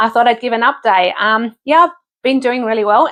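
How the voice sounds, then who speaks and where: Against a quiet background, a woman with an Australian accent speaks at a fairly high pitch with ordinary pitch variation. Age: 50s. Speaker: vlogger. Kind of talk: casual vlog update. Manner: halting, many fillers.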